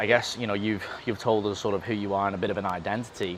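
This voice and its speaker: Over noticeable background noise, a man speaks very fast at a fairly low pitch. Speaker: podcast host. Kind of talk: casual chat. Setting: outdoors.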